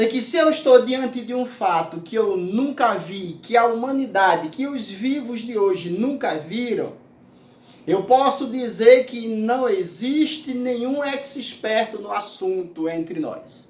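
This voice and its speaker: Speaking at an extremely high pitch, a man uses lively intonation. He talks at a very slow pace. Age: 60s. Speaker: pastor. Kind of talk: sermon.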